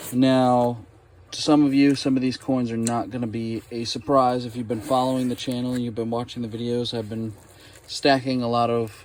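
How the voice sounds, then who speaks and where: Medium-pitched man with an American accent, moderate pace and monotone, flat intonation. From United States. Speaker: coin collecting YouTuber. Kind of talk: unboxing video.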